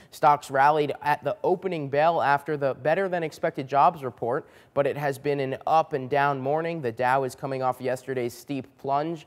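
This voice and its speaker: A man speaks in a plain, everyday voice at a moderate pace with hardly any pauses, fairly high pitch and fairly even intonation, on a very clean recording with a silent background. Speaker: news anchor (demo reel). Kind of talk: TV news anchor read. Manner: clear, polished, professional.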